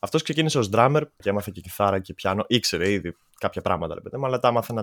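Dry and close with no echo, a man's voice races along at a very fast pace. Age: 20s. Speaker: musician. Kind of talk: casual chat. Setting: video call.

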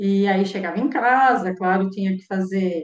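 This woman talks at a fairly slow pace. Her pitch is medium, with ordinary variation. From Brazil, Araras (São Paulo state). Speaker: mathematics professor. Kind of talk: interview.

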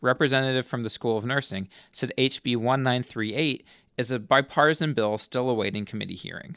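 A man with an unremarkable speaking voice talks at a fairly quick pace in a very clean recording with a silent background and a dry, close sound with no echo. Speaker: student news anchor. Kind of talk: formal newsreading of campus and state legislative headlines. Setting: studio. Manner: measured, even-paced delivery of dense bill numbers and figures.

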